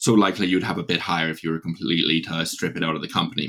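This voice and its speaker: This man speaks very fast in a very deep, low voice with a bright, sharp tone and ordinary pitch variation. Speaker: stock analyst. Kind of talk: casual business discussion.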